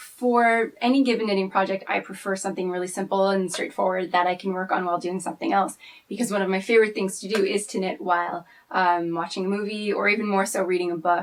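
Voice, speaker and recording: A woman with a French Canadian accent, very fast pace and fairly even intonation. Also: medium pitch for a woman. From French Canada. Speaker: knitter and archivist. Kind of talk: casual personal talk to camera.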